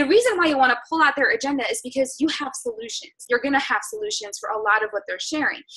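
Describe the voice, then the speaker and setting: A woman speaks in a raised, projected voice at a high pitch, with very wide pitch swings. Her pace is very fast, with hardly any pauses. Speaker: fitness business coach. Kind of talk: team call coaching talk.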